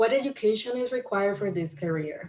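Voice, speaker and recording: Speaking at a moderate pace, a woman talks with a Spanish accent. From Colombia. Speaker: county equity office worker, former journalist. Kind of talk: career talk to camera. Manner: hesitant, many fillers.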